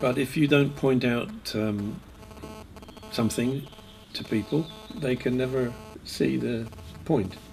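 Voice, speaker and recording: Noticeable background noise sits behind a man with a medium pitch and ordinary pitch variation. He leaves long, frequent pauses. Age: 70s. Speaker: Buddhist teacher. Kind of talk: talk with consecutive interpretation. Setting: retreat. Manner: halting; gets louder when emphatic.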